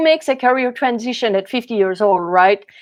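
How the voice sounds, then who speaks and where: This is a woman's voice. She speaks at a fairly quick pace. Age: 60s. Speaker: strength training coach and former dancer. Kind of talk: interview.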